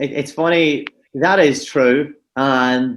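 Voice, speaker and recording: In a Donegal Irish accent, a man speaks at a very slow pace. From Donegal, Ireland. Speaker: real estate broker. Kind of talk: podcast interview answer.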